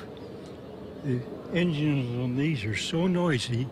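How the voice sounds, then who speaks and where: Through noticeable background noise comes a man's medium-pitched voice with ordinary pitch variation and very even loudness. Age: 80s+. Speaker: retired Air Force colonel, World War II veteran. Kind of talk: interview answer.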